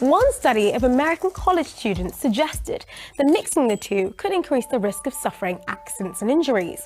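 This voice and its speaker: A woman with a high voice speaks at a moderate pace, her pitch swinging very widely, with music playing in the background. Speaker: TV presenter. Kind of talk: educational explainer.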